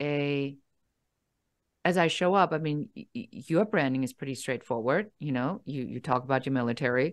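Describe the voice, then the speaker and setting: A woman with a German accent speaks at a very deep, low pitch with lively intonation. The background is quiet. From Germany. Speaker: business coach. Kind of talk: interview. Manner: direct, no-nonsense.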